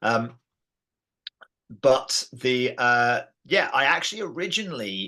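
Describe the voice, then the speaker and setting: A man with an English accent speaks at a medium pitch, his tone bright and sharp. His pitch swings very widely. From England. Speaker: martial arts system founder. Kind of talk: podcast interview.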